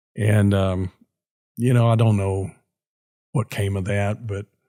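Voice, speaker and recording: A man with an American accent speaks slowly-ish, at a fairly slow pace, in a fairly low, somewhat breathy voice with fairly even intonation. The recording is very clean with a silent background and a dry, close sound with no echo. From Texas (Garland, Dallas area). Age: 70s. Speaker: commercial real estate broker. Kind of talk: interview, personal testimony. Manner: halting, with frequent fillers.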